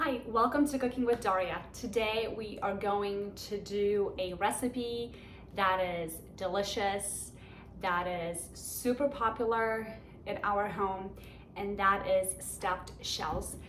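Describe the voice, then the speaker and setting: With a Polish accent, a woman speaks at a very slow pace and medium pitch, with ordinary pitch variation, noticeable background noise and audible room echo. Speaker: home cook, cooking channel host. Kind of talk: cooking tutorial. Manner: casual, conversational.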